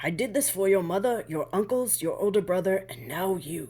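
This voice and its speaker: A woman puts on a character voice at a medium pitch. She keeps a moderate pace over light background noise. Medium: read story. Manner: cooing, soft.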